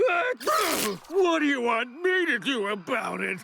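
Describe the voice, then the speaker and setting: A put-on character voice, high-pitched and very slow, over clear background noise. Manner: grumpy.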